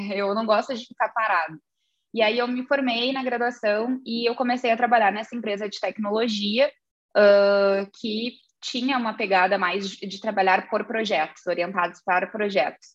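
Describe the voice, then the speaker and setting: A woman's fairly high voice keeps a fairly even intonation at a moderate tempo. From southern Brazil, Rio Grande do Sul (Santa Vitória do Palmar). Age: 30s. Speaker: business executive. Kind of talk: interview.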